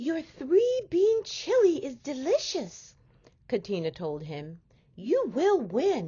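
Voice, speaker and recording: A put-on character voice at a very slow pace. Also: female-sounding voice, high pitch for a woman. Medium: read story. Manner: enthusiastic.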